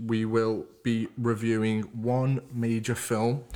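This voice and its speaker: At a very slow pace, a man with a Liverpool accent speaks at a medium pitch. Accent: Liverpool (Scouse) English. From Liverpool, England. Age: 20s. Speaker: podcast host. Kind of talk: casual chat.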